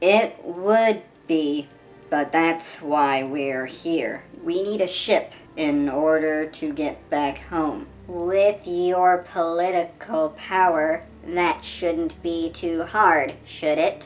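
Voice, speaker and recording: A female-sounding put-on character voice, pitched fairly low for a woman. The pace is very slow. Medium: solo performance. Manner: brisk, confident.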